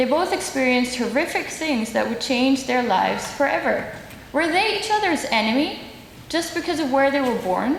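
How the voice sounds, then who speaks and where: Lively intonation and a Dutch accent mark this moderately paced speech. Noticeable background noise sits behind it. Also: woman. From Netherlands. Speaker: human rights advocate. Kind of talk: symposium speech.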